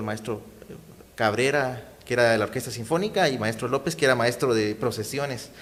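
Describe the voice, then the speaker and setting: A man's unremarkable speaking voice, medium-pitched, at a fairly quick pace with ordinary pitch variation. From Guatemala, Guatemala City. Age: 30s. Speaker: saxophonist and community activist. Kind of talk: interview.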